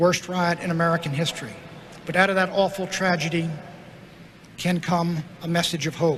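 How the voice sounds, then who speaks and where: A man talks in a high pitch at a moderate pace. His intonation is monotone and flat. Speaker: politician giving a convention speech. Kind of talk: political convention speech.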